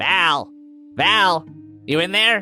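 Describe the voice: A put-on character voice sits at a middle pitch. Clear background noise runs underneath.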